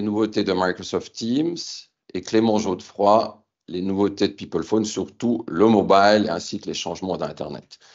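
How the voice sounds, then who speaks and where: A man speaks at a moderate pace with a Swiss accent. His pitch is fairly low. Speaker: company founder and CEO. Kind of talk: business keynote presentation. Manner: formal; hesitant fillers.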